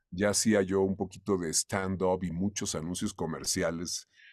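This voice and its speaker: Speaking at a moderate pace, a man with a fairly low pitch has an unremarkable speaking voice. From Mexico. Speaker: voice actor (dubbing). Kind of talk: interview answer.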